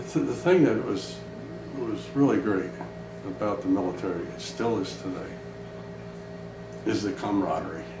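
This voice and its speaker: The speaker has an American accent. Music plays in the background, and there is audible room echo. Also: man. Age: 80s+. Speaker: retired air force pilot, war veteran. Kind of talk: interview testimony. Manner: halting.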